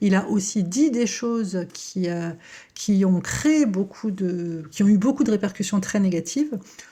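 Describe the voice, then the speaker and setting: Breathy to some degree, a woman speaks at a fairly slow pace and medium pitch. Her tone is dark and mellow, her intonation lively. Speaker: psychoanalyst. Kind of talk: educational talk to camera. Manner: hesitant with frequent euh.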